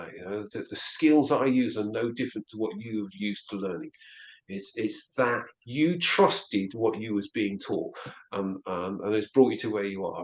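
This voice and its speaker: At a moderate pace, a medium-voiced man talks with ordinary pitch variation. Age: 60s. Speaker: near-death experiencer and counsellor. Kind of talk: interview. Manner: halting, with many repetitions.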